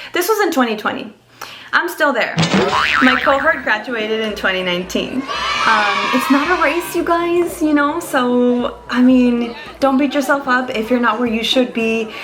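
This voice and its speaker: Over music in the background, a woman with a Spanish accent speaks at a moderate pace in a high voice with lively intonation, and room echo is audible. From Mexico. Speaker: vlogger. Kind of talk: casual vlog.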